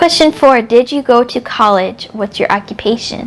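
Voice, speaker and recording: Over noticeable background noise, a woman talks with an American accent. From upstate New York. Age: 30s. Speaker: book vlogger. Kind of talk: casual vlog chat.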